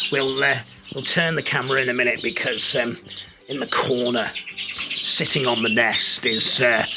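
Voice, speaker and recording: The speech moves at a moderate pace with fairly even intonation and long, frequent pauses. There is noticeable background noise and audible room echo. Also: man, medium pitch for a man. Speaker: bird-keeping channel host. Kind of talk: casual chat. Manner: whispering.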